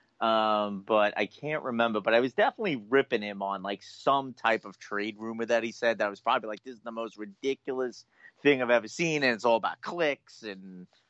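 The sound is dry and close with no echo, and the background is quiet. A man with an unremarkable speaking voice talks at a medium pitch and moderate pace. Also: big swings in loudness. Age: 40s. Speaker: sports podcast co-host. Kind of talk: casual sports talk show banter.

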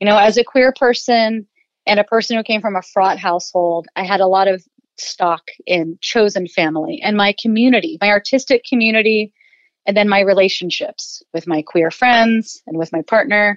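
An ordinary speaking voice at a moderate pace, ordinary pitch variation, and a dry, close sound with no echo. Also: woman, medium pitch for a woman. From Ohio, US Midwest. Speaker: illustrator and writer. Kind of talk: personal testimony in interview.

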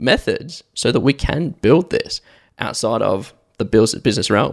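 On a very clean recording with a silent background, a man with an Australian accent comes through with a dry, close sound and no echo. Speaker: podcast host, business owner. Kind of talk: casual chat.

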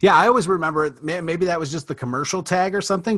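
Over a quiet background, a man with an American accent talks at a very fast pace. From Michigan, Detroit area. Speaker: Disney fan guest. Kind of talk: casual chat.

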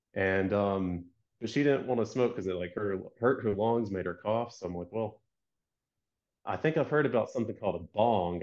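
An unremarkable speaking voice with an American accent, at a fairly quick pace with ordinary pitch variation, over a quiet background. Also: man. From US South, Georgia. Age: 30s. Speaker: product designer and business owner. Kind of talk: casual chat.

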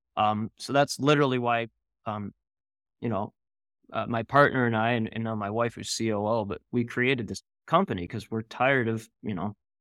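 A normal speaking voice from a man, medium in pitch with ordinary variation, moderate in pace, on a very clean recording with a silent background. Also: dry, close sound with no echo. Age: 40s. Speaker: founder of a networking platform for entrepreneurs. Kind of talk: podcast interview.

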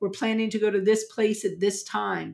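A woman with medium pitch speaks at a moderate pace in an unremarkable speaking voice. The recording is very clean, with a silent background. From US South, New Orleans. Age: 50s. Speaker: family law attorney. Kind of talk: interview.

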